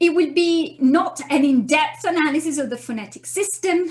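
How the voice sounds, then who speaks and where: A woman speaks with an Italian accent. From Italy. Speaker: university lecturer. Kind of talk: lecture. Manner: hesitant, many fillers. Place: home room. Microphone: webcam.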